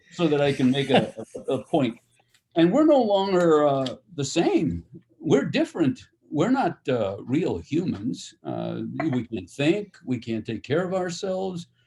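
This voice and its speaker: The voice has a dark, mellow tone, moves at a fairly slow pace and makes very wide pitch swings. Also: man, fairly high pitch for a man. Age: 70s. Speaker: former seminarian. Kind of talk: casual chat. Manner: halting.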